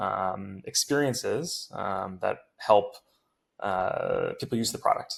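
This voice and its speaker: A man speaks with an American accent. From US West Coast, Silicon Valley. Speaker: tech startup founder and CEO. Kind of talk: podcast interview. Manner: hesitant, many filler words.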